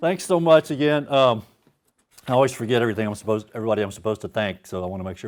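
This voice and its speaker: A man with a Louisiana accent, medium-pitched, racing at a very fast pace with very wide pitch swings and big swings in loudness. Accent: Southern US (Louisiana). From US South, Baton Rouge, Louisiana. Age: 50s. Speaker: author. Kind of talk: author talk before a reading. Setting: stage with audience. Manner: casual, hesitant with many fillers.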